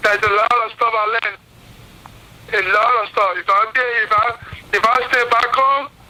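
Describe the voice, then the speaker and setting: Over noticeable background noise, a high-pitched man speaks in a raised, projected voice with a flat, monotone delivery and long, frequent pauses. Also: moderate pace. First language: non-English. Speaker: boxer. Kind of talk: press conference call.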